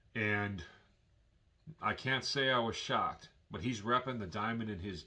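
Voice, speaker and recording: Speaking with an American accent, a man has a fairly low pitch and a bright, sharp tone. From Milwaukee, Wisconsin, US Midwest; Wisconsin. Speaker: YouTuber; vlogger. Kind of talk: vlog monologue. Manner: casual, hesitant with fillers. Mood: earnest, warning tone.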